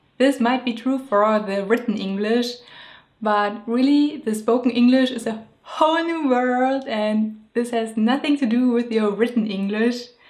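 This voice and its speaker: With a German accent, a woman speaks at a high pitch and a fairly slow pace, with fairly even intonation. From Germany. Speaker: illustrator and video creator. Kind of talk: scripted narration.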